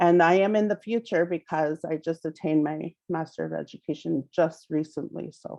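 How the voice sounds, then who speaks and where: A woman speaks with a very deep, low pitch and a dark, mellow tone. Her intonation stays fairly even, with hardly any pauses. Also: moderate pace. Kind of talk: presentation. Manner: halting, many fillers.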